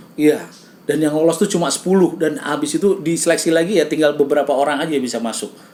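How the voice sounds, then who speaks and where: A man speaks very fast in a shrill, fairly high voice. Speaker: radio host and comedian. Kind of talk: casual chat.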